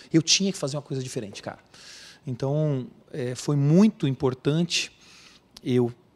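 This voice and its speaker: This man's voice sits fairly high in pitch. It has ordinary pitch variation. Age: 40s. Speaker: emergency physician. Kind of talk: interview. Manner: emotional, earnest.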